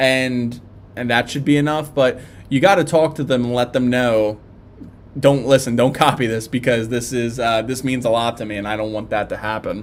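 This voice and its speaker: A man's voice holds a medium pitch and a fairly even intonation as he talks at a moderate speed. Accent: Philadelphia. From South Philadelphia. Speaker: tattoo live streamer. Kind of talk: live stream chat and Q&A. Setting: live stream. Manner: casual, halting with fillers.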